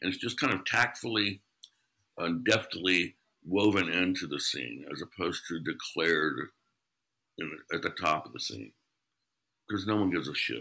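A man with a very deep, low pitch, vocal fry and a bright, sharp tone, lively intonation, a moderate pace, and long, frequent pauses. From US Midwest (Ohio, born in Kentucky). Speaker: improv director and comedian. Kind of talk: casual interview. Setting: remote call from his kitchen.

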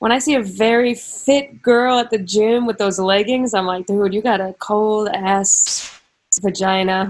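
This woman has a normal speaking voice, fairly high in pitch, with fairly even intonation. She talks at a fairly slow pace. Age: 20s. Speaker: podcast co-host. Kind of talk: casual chat. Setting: video call.

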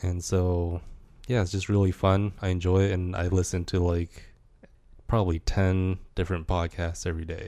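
A man with an American accent, very deep and low in pitch, in a monotone, flat delivery at a moderate pace, in a very clean recording with a silent background. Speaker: DJ. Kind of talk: casual chat.

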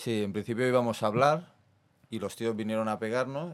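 The man has an ordinary speaking voice, fairly low in pitch, at a moderate pace. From Barcelona, Spain (Besòs). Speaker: professional MMA fighter. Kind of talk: casual interview. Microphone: far from the mic.

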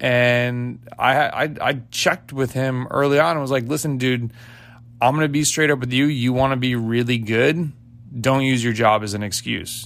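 This man talks fairly slowly, his medium pitch moving with ordinary pitch variation. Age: 40s. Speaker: cycling coach and podcast host. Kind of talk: solo podcast monologue. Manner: animated.

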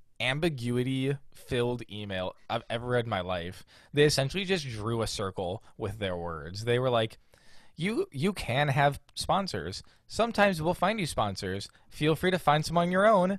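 Pitch swings very widely as a man talks with an American accent on a very clean recording with a silent background. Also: medium pitch for a man, moderate pace. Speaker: podcast co-host. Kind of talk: casual chat.

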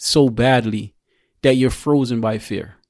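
A man's medium-pitched voice with a New York accent and ordinary pitch variation. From Queens, New York (born in Jamaica). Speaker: registered nurse and military veteran. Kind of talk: casual chat.

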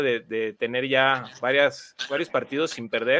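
Speaking at a very slow pace, a man holds a medium pitch with fairly even intonation. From Mexico. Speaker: guest fan, youtuber. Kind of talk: casual chat.

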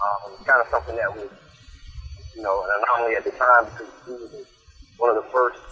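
Noticeable background noise accompanies a man speaking at a medium pitch. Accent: American. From South Florida. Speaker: high school football coach and recruiter. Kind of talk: interview. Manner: halting.

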